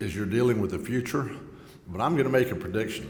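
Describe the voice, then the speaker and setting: A voice with a Texan accent comes through with audible room echo. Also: man. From Texas Gulf Coast. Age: 60s. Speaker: congressman. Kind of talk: speech at a luncheon. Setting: luncheon event with live audience.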